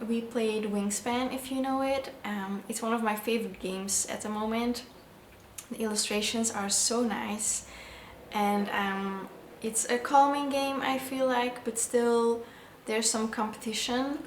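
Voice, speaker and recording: A woman with a non-native accent talks at a fairly slow pace and a fairly high pitch, her intonation fairly even. Noticeable background noise and audible room echo are present. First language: not English. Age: 20s. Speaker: vlogger. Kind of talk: casual vlog narration.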